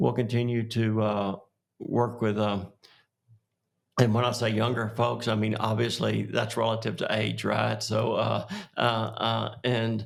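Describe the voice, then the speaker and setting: This man has a West Texas accent, a medium pitch and vocal fry. His delivery is monotone and flat, fairly slow, and very even in loudness. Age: 60s. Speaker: oil and gas executive. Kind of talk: podcast interview. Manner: halting, many fillers.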